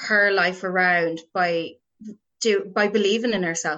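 Speaking in an Irish accent, a woman talks very slowly with fairly even intonation. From Ireland, Roscommon (Boyle). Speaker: drama therapist. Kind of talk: casual interview. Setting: podcast interview.

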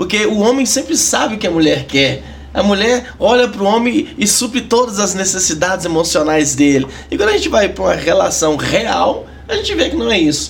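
Over noticeable background noise, the voice moves at a fairly quick pace with very wide pitch swings. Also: man, high pitch for a man. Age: 30s. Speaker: church marriage counselor. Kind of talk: casual chat.

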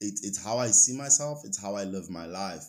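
Recorded very cleanly against a silent background, a man with a South African accent speaks at a fairly low pitch with ordinary pitch variation. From South Africa, Eastern Cape. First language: Xhosa. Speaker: recruitment headhunter and rugby player. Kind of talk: casual interview.

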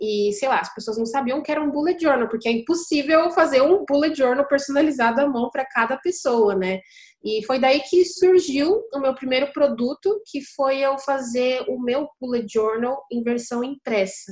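A woman's high-pitched voice with lively intonation, a moderate pace, and hardly any pauses. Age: 20s. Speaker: e-commerce entrepreneur. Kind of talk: casual interview.

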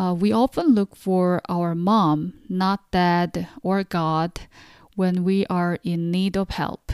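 A woman with a Korean accent speaks at a very slow pace in a fairly low pitch with fairly even intonation. The recording is very clean with a silent background and a dry, close sound with no echo. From South Korea. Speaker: podcast host and Korean language teacher. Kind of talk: language lesson; scripted narration of newsletter.

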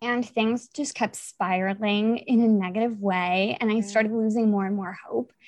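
Against a quiet background, a woman with an ordinary speaking voice and fairly high pitch talks at a moderate pace with hardly any pauses and fairly even intonation. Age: 20s. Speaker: WordPress projects manager. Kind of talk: casual chat.

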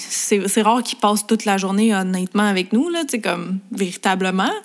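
A woman talks over noticeable background noise. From Quebec, Montreal. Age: 20s. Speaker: makeup artist and beauty influencer. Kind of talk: casual interview chat.

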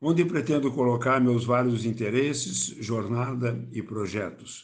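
In a room with audible echo, a man of medium pitch speaks very slowly with ordinary pitch variation. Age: 70s. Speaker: theatre actor and poet. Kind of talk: self-introduction.

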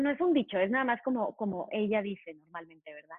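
The woman has a normal speaking voice, fairly high in pitch, with ordinary pitch variation. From Mexico. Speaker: tap dance teacher and choreographer. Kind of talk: interview conversation.

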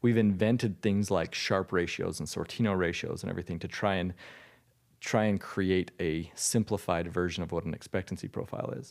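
A man talks at a fairly quick pace with a very deep, low pitch and fairly even intonation. The recording is very clean, with a silent background. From Utah. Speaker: hedge fund manager. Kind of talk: interview. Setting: in person at guest's home state.

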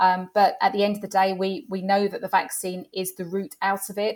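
Speaking at a moderate pace, a woman with a London accent has a medium pitch. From North London. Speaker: travel industry executive. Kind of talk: interview.

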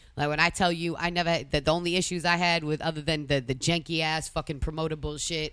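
In an American accent, a woman with a very deep, low pitch talks very fast in a flat monotone, her loudness very even and her speech almost free of pauses. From Massachusetts. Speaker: DJ and tour organizer. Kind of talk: casual chat.

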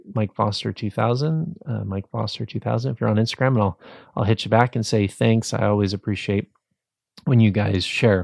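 An ordinary speaking voice from a man, medium in pitch and moderate in pace, dry and close with no echo, on a very clean recording with a silent background. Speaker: podcast host. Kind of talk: podcast interview intro and outro. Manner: warm, encouraging.

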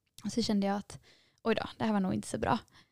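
The recording of this woman is very clean with a silent background, and the sound is dry and close with no echo. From Gothenburg, Sweden. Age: 20s. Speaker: nursing student. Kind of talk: testimony. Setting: studio.

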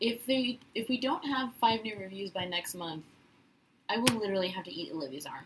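A woman's plain, everyday voice, fairly high in pitch, with lively intonation, a fairly quick pace and big swings in loudness. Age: 20s. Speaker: podcast co-host. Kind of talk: casual chat.

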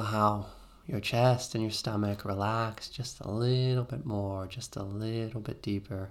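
A man with an unremarkable speaking voice talks at a fairly slow pace. His pitch variation is ordinary, with big swings in loudness. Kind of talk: guided meditation. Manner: slow, soothing, calm and gentle; rhythmic, repetitive, with long pauses.

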